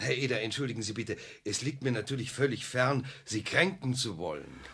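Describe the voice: A put-on character voice from a man, bright and sharp in tone with a slightly husky edge, medium in pitch, lively in intonation and fairly quick in pace.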